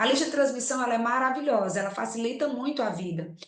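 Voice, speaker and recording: Energetic in tone, a woman speaks at a fairly quick pace and high pitch, with audible room echo. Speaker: business owner and mentor. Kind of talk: live webinar talk. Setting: online live stream. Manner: fast.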